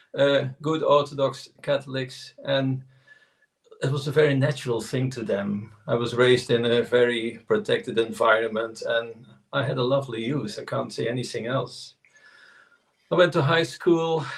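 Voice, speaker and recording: This man's voice is somewhat breathy. He has a medium pitch with ordinary variation. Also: moderate pace. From southern Netherlands, Tilburg. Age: 60s. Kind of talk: interview.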